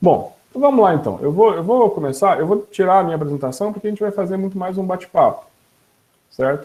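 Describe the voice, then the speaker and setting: A high-pitched man with a dark, mellow tone, lively intonation and a very fast pace. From southern Minas Gerais, Brazil. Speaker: panel moderator, university professor. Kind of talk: panel discussion moderation.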